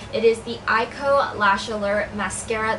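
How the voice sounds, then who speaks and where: Audible room echo and noticeable background noise surround this woman as she talks. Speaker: beauty vlogger. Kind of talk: product review.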